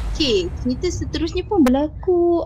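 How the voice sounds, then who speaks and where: A woman's dark, mellow voice with a Malaysian accent and very wide pitch swings. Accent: Malaysian Malay. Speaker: storyteller subscriber sharing ghost stories. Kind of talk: casual storytelling over video call. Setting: video call.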